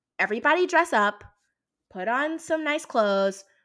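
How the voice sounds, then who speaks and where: With an American accent, a woman speaks in a bright, sharp, animated tone with lively intonation at a moderate pace. The recording is very clean with a silent background. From US South, Lafayette, Louisiana. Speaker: tech product manager. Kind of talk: casual interview chat. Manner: animated, many fillers.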